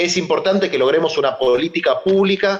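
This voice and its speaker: A man speaks at a fairly slow pace. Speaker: moderator, social movement leader. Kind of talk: panel discussion moderation.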